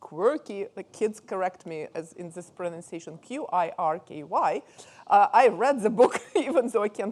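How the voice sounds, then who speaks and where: A woman with a Russian accent at a moderate pace, on a very clean recording with a silent background. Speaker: professor, conference moderator. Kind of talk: speaker introduction. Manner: hesitant, many fillers.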